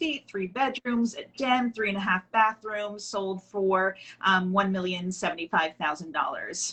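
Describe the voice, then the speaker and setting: A woman with an unremarkable speaking voice talks at a medium pitch and a moderate pace, with ordinary pitch variation and hardly any pauses. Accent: American. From Long Island, New York. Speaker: real estate agent. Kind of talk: casual interview.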